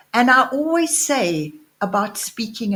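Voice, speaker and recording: A woman's somewhat breathy voice with very wide pitch swings. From South Africa. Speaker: entrepreneur and speaker. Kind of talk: interview. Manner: slow, with pauses.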